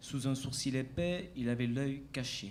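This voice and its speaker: A man with a southern French accent speaks very slowly at a medium pitch, with audible room echo. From southern France, Martigues (Provence). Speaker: actor. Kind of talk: interview. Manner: hesitant, many fillers.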